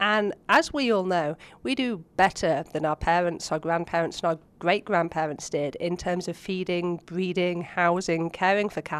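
A woman with an English accent, fairly low in pitch with ordinary pitch variation, at a moderate pace over a quiet background. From England (Oxford). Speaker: animal science researcher. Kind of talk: interview.

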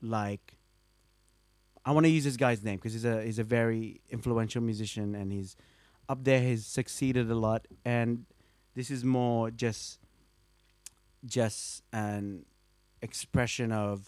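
A man with an Australian accent talks at a medium pitch and a fairly slow pace. He uses fairly even intonation with long, frequent pauses. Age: 20s. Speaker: bassist. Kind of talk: casual chat. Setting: at his home.

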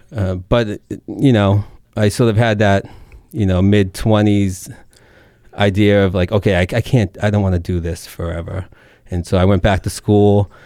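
With a Boston accent, a man speaks in a dark, mellow tone at a moderate pace. He leaves long, frequent pauses. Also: fairly low pitch for a man, fairly even intonation. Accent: Boston-area Massachusetts accent, noticeable. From Massachusetts, Merrimack Valley (Lowell). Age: 30s. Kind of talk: radio interview.

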